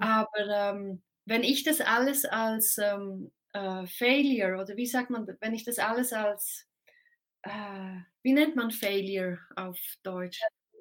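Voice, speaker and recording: A woman speaks at a very slow pace, her fairly high voice showing ordinary pitch variation. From Switzerland. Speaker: time expert, speaker. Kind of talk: casual interview.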